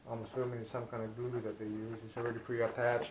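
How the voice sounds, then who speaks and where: A man talks with a Hawaiian accent. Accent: local Hawaiian. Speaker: aerospace worker, RC plane hobbyist. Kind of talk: casual unboxing talk to camera.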